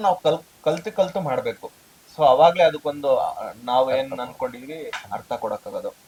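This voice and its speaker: Noticeable background noise around a man's lively intonation. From India, Karnataka (K R Pete, Mandya district). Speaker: actor. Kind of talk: interview.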